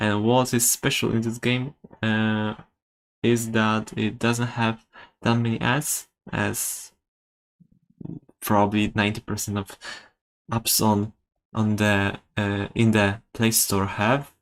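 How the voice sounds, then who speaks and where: Very slowly and with long, frequent pauses, a man speaks in a non-native accent with monotone, flat intonation. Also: fairly low pitch for a man. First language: not English. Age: 20s. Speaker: game developer streamer. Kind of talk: live stream commentary. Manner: halting, many fillers.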